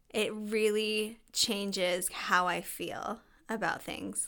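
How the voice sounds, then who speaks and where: Speaking at a very slow pace, a woman with a bright, sharp, medium-pitched voice keeps her intonation fairly even on a very clean recording with a silent background. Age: 30s. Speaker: podcast co-host, behavior analyst. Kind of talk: casual chat.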